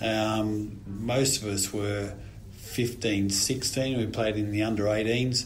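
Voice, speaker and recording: In an Australian accent, a man speaks very slowly at a fairly low pitch with monotone, flat intonation. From Australia (New South Wales). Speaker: retired rugby player. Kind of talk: casual chat.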